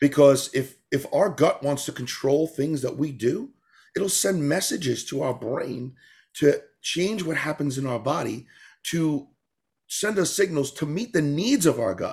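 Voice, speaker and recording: A man with an American accent speaks at a fairly slow pace, somewhat breathy, with lively intonation on a very clean recording with a silent background. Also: fairly high pitch for a man. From New York. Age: 40s. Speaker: tap dancer and author. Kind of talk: casual interview. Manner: animated.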